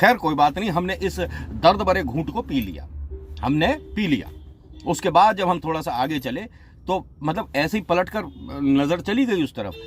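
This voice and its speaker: A man with a fairly high voice and lively intonation, music playing in the background. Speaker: radio jockey. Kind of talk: casual talk to camera. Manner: humorous storytelling.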